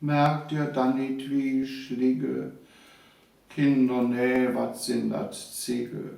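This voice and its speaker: Very slow, monotone speech with flat intonation over noticeable background noise. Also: man, medium pitch for a man. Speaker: retired teacher and author. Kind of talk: dialect poetry reading.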